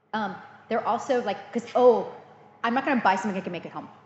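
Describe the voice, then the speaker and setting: A woman speaks with an American accent and ordinary pitch variation. Noticeable background noise is present. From US, Illinois and California Central Valley. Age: 40s. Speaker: cheesemaker. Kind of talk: interview.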